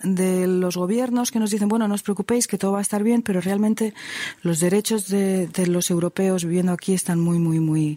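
A woman speaks in a dark, mellow tone at a medium pitch, with ordinary pitch variation. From Spain. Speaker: psychotherapist. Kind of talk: interview. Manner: halting.

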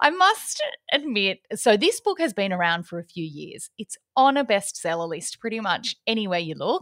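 A woman with an Australian accent, her pitch swinging very widely, in a dry, close sound with no echo. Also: moderate pace. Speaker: podcast co-host. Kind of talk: casual chat.

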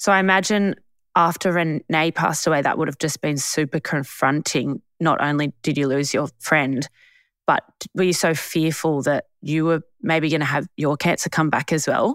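In an Australian accent, a woman speaks at a very deep, low pitch with very even loudness and fairly even intonation, in a dry, close sound with no echo and a very clean recording against a silent background. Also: moderate pace. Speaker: podcast host. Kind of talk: casual chat.

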